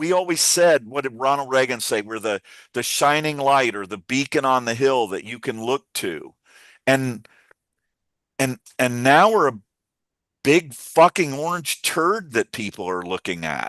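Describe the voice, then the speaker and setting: A man's medium-pitched voice with an American accent, lively intonation and a fairly slow pace, broken by long, frequent pauses, in a dry, close sound with no echo against a quiet background. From US South, Virginia. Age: 60s. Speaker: activist live stream host. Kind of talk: impassioned live stream talk. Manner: animated.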